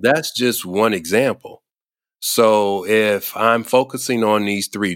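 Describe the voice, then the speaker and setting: A man's fairly low voice unfolds very slowly. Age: 50s. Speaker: senior care leadership consultant. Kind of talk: interview.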